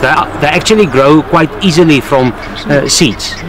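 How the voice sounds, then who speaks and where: A man speaks at a fairly slow pace, the sound dry with no echo but with noticeable background noise. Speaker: garden guide explaining plants. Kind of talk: interview answer. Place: garden. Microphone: camera far.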